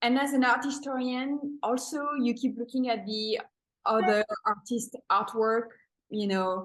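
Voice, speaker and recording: A woman's high-pitched voice with a French accent, ordinary pitch variation and a fairly slow pace. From France, Paris. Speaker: painter and art teacher. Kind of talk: interview. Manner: halting.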